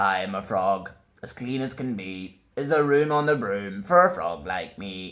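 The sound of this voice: A man does a croaky put-on character voice at a moderate pace and a fairly low pitch.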